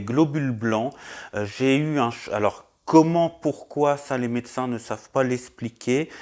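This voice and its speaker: The pitch shows ordinary variation. The recording is very clean, with a silent background. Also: man. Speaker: YouTuber vlogger. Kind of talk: personal health update vlog. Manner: loud; hesitant, many fillers. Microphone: new wireless mic.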